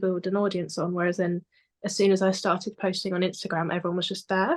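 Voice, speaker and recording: Soft-spoken and calm, with a relaxed tone, a woman with a British accent talks at medium pitch and a fairly quick pace against a quiet background. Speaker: history content creator. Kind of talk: casual interview chat. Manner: quiet, soft-spoken; calm, relaxed.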